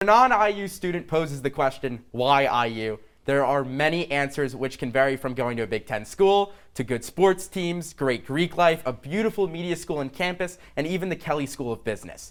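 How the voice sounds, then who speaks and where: A man has an ordinary speaking voice with fairly high pitch. His intonation is lively and his pace is moderate. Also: hardly any pauses. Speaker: student sportscaster. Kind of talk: sports talk show.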